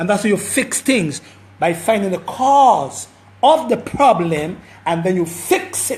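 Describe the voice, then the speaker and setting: The speech moves at a fairly slow pace, with noticeable background noise behind it. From Caribbean. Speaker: herbal health practitioner. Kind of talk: live stream health talk. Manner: repetitive, stammering.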